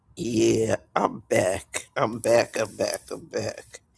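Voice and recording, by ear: Using a put-on character voice, a man speaks very slowly and hoarsely.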